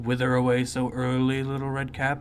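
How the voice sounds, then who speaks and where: A man talks at a moderate pace in a put-on character voice of medium pitch. His intonation is monotone and flat, and clear background noise can be heard. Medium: read story. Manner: sly, smooth-talking.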